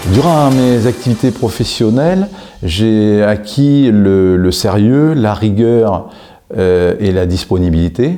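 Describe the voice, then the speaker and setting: Music plays in the background as a man talks at a very slow pace, his fairly low pitch paired with lively intonation and very even loudness. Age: 60s. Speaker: job seeker, former helicopter pilot. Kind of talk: interview self-presentation.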